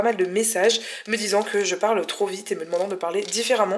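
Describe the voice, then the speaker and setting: Her voice fairly high and her pitch moving in an ordinary way, a woman talks while noticeable noise sounds in the background. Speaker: vegan cooking youtuber. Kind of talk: cooking tutorial. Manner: fast.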